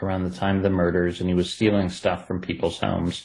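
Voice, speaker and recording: The speaker is a man. He talks with an Ohio accent. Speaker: true crime author. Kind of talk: interview.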